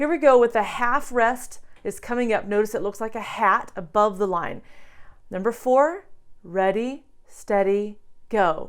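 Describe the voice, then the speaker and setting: In an animated tone, a woman with a fairly high voice speaks with ordinary pitch variation. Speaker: piano teacher. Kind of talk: tutorial. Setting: at the piano.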